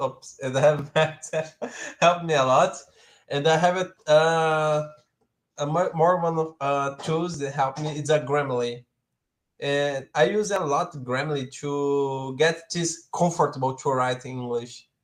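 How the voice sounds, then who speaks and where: Fairly slow and fairly even in intonation, a man talks with a Portuguese accent. His pitch is fairly high. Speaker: live stream co-host. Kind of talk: live stream chat. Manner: halting.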